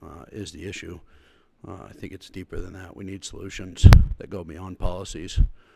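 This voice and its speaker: A man's very deep, low voice, monotone and flat, at a moderate pace, with big swings in loudness and noticeable background noise. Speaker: public commenter at school board meeting. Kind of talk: public comment. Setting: public meeting.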